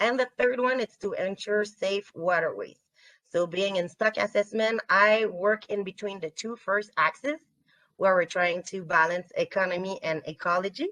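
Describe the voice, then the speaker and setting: A woman with a bright, sharp tone and medium pitch speaks at a moderate pace with ordinary pitch variation, the sound dry and close with no echo. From Quebec, Canada. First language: French. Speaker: fisheries scientist. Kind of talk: webinar presentation. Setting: remote video webinar. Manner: hesitant, many fillers.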